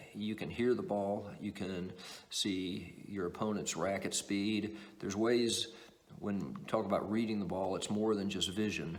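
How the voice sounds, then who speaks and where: With audible room echo, a man speaks fairly slowly at a fairly low pitch and fairly even intonation. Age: 60s. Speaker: table tennis coach. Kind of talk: tutorial. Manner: halting.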